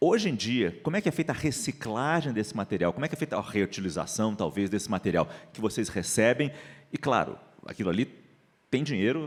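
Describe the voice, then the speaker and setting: A man with vocal fry talks at a fairly quick pace, his pitch swinging very widely. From Rio de Janeiro, Brazil. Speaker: journalist moderator. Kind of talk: panel discussion.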